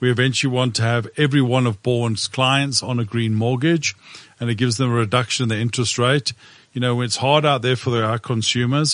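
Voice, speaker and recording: At a medium pitch, a man speaks at a fairly quick pace. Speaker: property company CEO. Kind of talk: casual chat. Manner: animated.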